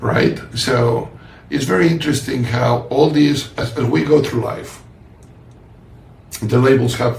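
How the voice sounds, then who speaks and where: In a room with audible echo and noticeable background noise, a man with a strong non-native accent speaks at a fairly slow pace with long, frequent pauses, a medium pitch and ordinary pitch variation. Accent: heavy foreign. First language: not English. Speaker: podcast host and author. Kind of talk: casual conversation. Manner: halting.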